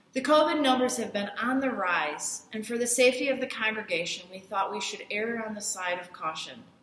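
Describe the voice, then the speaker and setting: A woman at a moderate pace, with light background noise and audible room echo. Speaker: guest. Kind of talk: church welcome address. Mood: warm, welcoming. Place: home room. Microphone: phone near.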